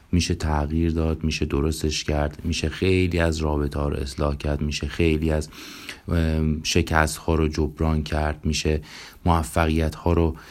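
Moderate pace and flat, monotone intonation from a man with a very deep, low pitch. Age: 30s. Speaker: psychologist and podcast host. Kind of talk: self-introduction monologue.

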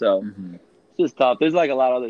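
A man with a Midwestern American accent, plus noticeable background noise. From Rockford, Illinois, US Midwest. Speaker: podcast guest. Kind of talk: testimony. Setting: phone call. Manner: animated.

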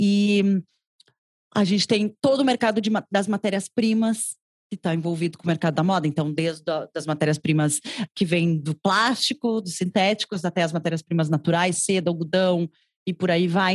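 In a very clean recording with a silent background and a dry, close sound with no echo, a woman speaks in a normal speaking voice at medium pitch, with ordinary pitch variation and a moderate pace. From southern Brazil, Rio Grande do Sul (Porto Alegre). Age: 30s. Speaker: fashion journalist and consultant. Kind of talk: interview conversation. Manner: talkative, long flowing answers.

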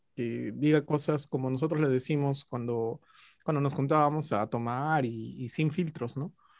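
A man speaks in an Andean Peruvian accent with ordinary pitch variation. His pace is fairly slow. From Peru, Ayacucho highlands. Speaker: sociologist. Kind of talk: casual chat.

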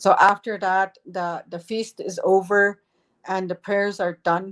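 The woman's pitch sits in the medium range, and her pace is fairly slow. The sound is dry and close, with no echo. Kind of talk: elder telling life story. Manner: gentle, reverent, laughs as she tells.

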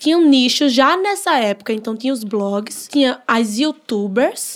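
In a northeastern Brazilian accent, the speaker talks at a fairly slow pace with lively intonation and an animated tone. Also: woman. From Northeast Brazil. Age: 20s. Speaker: social media influencer. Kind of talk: podcast interview.

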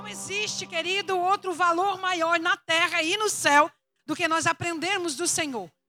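A woman projects in a raised voice at an extremely high pitch with ordinary pitch variation and a fairly slow pace. The sound is dry and close with no echo, and music plays in the background. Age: 50s. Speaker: pastor. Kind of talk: sermon.

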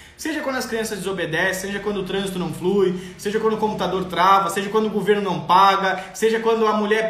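Amid audible room echo and noticeable background noise, a man talks at a very fast pace in an animated tone, his high pitch showing ordinary pitch variation. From southern Brazil, Rio Grande do Sul. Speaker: parenting coach. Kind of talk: live stream talk reading viewer comments. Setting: online live stream.

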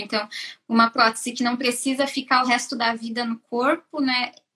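A woman's high, bright, sharp voice in a monotone, flat intonation. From southern Brazil, Joinville, Santa Catarina. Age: 30s. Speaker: mechanical engineer. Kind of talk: interview on a live stream.

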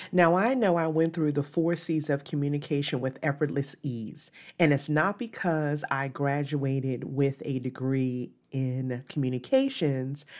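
A woman speaks at a fairly slow pace in a very deep, low voice. The recording is very clean with a silent background. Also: ordinary pitch variation. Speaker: podcast host and communication coach. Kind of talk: solo podcast talk.

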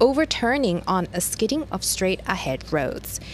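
Noticeable background noise sits behind a woman speaking at a fairly slow pace. She has a medium pitch and an American accent.

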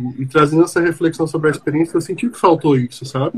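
A man with a plain, everyday voice talks at a fairly quick pace, his fairly high pitch showing ordinary variation. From Brazil, Brasília. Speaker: podcast host, psychologist. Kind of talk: casual discussion.

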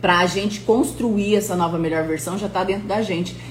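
An animated voice sounds out over noticeable background noise and audible room echo. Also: woman. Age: 30s. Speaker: motivational coach. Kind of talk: live-stream motivational talk. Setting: live stream.

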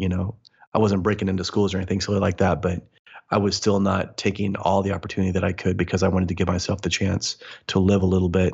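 A man's very deep, low, somewhat breathy voice at a very fast pace, monotone with flat intonation. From US Midwest. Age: 40s. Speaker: motivational speaker and mindset coach. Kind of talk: interview conversation.

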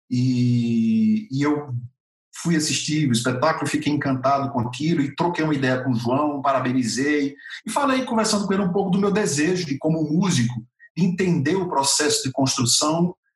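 Fairly high-pitched male voice with lively intonation, a fairly quick pace and very even loudness, over background music. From Brazil, Natal (Rio Grande do Norte, Northeast). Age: 40s. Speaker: actor and theatre musician. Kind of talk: interview.

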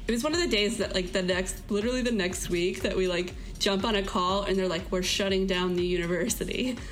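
A woman with an American accent at medium pitch, fairly quick with hardly any pauses, fairly even intonation and very even loudness, plus audible room echo and noticeable background noise. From Florida. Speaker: student. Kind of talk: interview.

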